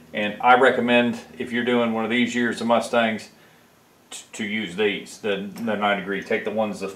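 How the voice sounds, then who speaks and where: Fairly quick male speech in a room with audible echo. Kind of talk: tutorial. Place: garage.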